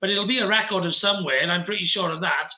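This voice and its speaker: A man with a high voice projects it loudly in fairly even intonation, with noticeable background noise around him. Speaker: entrepreneur and podcaster. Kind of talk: interview. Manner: fast.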